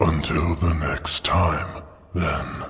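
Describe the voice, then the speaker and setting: A rumbling, very deep, low put-on character voice from a man. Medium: read story. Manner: playful, amused.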